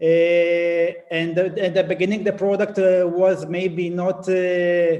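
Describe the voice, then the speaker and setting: A high-pitched man with a non-native accent at a very slow pace. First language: not English. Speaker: company CEO, conference speaker. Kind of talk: conference presentation. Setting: conference. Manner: halting, many fillers and restarts.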